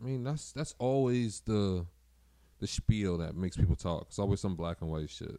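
Speaking with an American accent, a man keeps a moderate pace and fairly low pitch. His tone is dark and mellow, his intonation lively. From Boston. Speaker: DJ. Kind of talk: casual chat.

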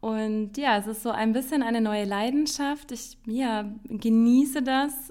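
A dark, mellow tone at a very slow pace. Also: woman. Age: 30s. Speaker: podcast host. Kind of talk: solo podcast monologue.

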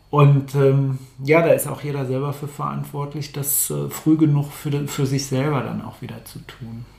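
Over noticeable background noise, a man speaks at a moderate pace in a fairly high, monotone voice with flat intonation and big swings in loudness. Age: 50s. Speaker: coach. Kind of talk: casual chat. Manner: halting.

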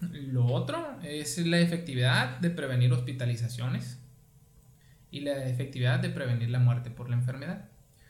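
A man with a medium-pitched voice and fairly even intonation speaks at a moderate pace, with audible room echo and noticeable background noise. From Mexico, Sonora (Guaymas). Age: 30s. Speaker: physician. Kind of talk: casual interview.

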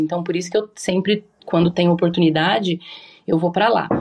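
A woman with a normal speaking voice talks fairly quickly, her pitch fairly low and her intonation fairly even. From Japan (raised there from early childhood). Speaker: cannabis chef. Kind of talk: casual interview chat.

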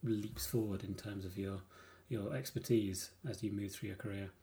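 Somewhat breathy, with a dark, mellow tone, a man speaks at a moderate pace in a fairly low pitch. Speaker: game developer panelist.

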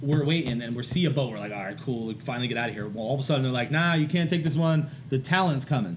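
Very fast pace and hardly any pauses, over noticeable background noise. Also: man, medium pitch for a man, ordinary pitch variation. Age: 30s. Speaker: art teacher. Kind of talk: casual chat.

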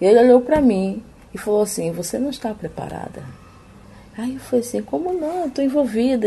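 A woman speaking at a moderate pace. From Amapá, northern Brazil. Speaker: missionary and seminary student. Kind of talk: interview testimony.

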